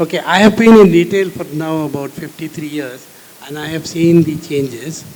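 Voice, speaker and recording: A man's fairly high voice at a moderate pace, with ordinary pitch variation and big swings in loudness, amid noticeable background noise and audible room echo. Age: 70s. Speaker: retail business founder. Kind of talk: panel discussion. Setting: stage with audience.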